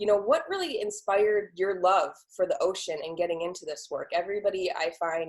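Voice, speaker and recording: Fairly quick and fairly even in intonation, a woman talks in a normal speaking voice with an American accent. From Ohio. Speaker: podcast host. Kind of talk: interview.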